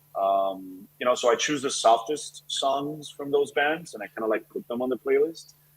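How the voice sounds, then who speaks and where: A man with a Spanish accent at a moderate pace, with hardly any pauses. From Colombia. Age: 30s. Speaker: chef and restaurant owner. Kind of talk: interview.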